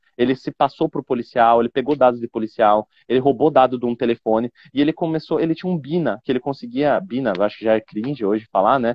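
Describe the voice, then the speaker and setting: A man talks very fast at a medium pitch, with hardly any pauses. His pitch varies in an ordinary way. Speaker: information security expert. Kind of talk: live stream interview. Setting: airport. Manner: didactic.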